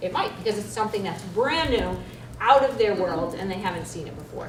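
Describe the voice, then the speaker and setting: Amid noticeable background noise and audible room echo, a woman talks fairly quickly at a medium pitch, her loudness swinging widely. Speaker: school librarian presenter. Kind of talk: conference presentation. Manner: fast.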